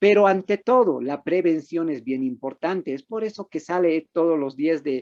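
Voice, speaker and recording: A high-pitched man talks with hardly any pauses. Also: ordinary pitch variation, moderate pace, dry, close sound with no echo. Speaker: medical doctor giving a lecture on mental health. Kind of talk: online lecture. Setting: video conference. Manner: conversational, engaging audience with questions.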